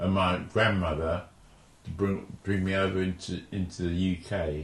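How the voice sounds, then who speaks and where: In a very deep, low pitch, a man speaks with a monotone, flat intonation and a somewhat breathy quality. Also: moderate pace. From London (Forest Gate), born in Jamaica. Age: 70s. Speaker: oral history interviewee. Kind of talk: oral history interview. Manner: halting, with false starts.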